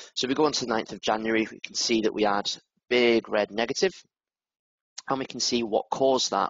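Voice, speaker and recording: With a northern English accent and medium pitch, a man talks at a very fast pace, with ordinary pitch variation, big swings in loudness and long, frequent pauses. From northern England. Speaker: product manager. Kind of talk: software demo webinar. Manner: casual, with fillers.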